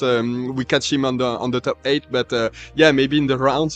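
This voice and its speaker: A man with a strong French accent speaks at a fairly quick pace with fairly even intonation, the sound dry and close with no echo while music plays behind him. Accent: thick French. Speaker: livestream commentator. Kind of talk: live stream chat with viewers. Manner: halting, stuttering; casual.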